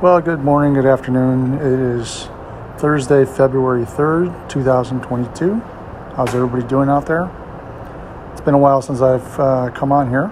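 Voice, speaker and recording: Over noticeable background noise, a man talks at a moderate pace with medium pitch and fairly even intonation. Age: 60s. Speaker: video blogger. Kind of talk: casual personal update monologue. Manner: casual with frequent filler words.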